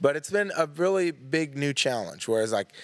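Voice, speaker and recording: The recording is very clean, with a silent background. A man speaks with very wide pitch swings. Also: dry, close sound with no echo. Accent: Southern US. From East Tennessee. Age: 20s. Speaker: artist, art teacher and youth minister. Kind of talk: casual chat.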